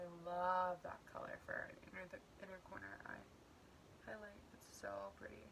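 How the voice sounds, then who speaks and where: There is audible room echo and noticeable background noise. A woman speaks at a moderate pace with long, frequent pauses. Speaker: beauty vlogger. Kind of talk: makeup tutorial. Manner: casual, chatty; occasional stutter.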